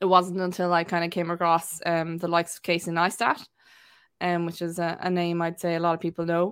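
The woman's pitch is fairly low, and her pace is moderate. The recording is very clean, with a silent background. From Wexford, Ireland. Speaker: videographer and content creator. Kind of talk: casual interview chat.

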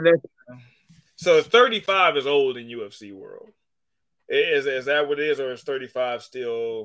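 A man talks at a fairly slow pace in a plain, everyday voice. His pitch sits fairly high, with ordinary variation. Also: big swings in loudness. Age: 30s. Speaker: sports podcast host. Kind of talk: casual chat.

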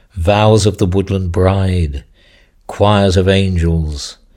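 Very deep and low in pitch, a man speaks at a very slow pace in a solemn tone, captured in a very clean recording with a silent background. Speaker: poet reading his own work. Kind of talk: poetry reading, dark and incantatory. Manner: measured and solemn; deliberate, steady, ominous delivery.

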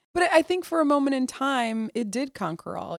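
A woman with an American accent talks at a moderate pace in a plain, everyday voice, with ordinary pitch variation and a dry, close sound with no echo. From US Midwest. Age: 30s. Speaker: military officer. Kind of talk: casual interview. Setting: hotel in Washington DC, re-recorded interview.

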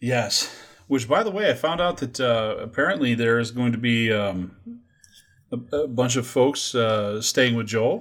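With an ordinary speaking voice, a man talks at a fairly slow pace in a medium pitch with ordinary pitch variation. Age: 40s. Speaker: podcast host. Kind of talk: casual chat. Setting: video call.

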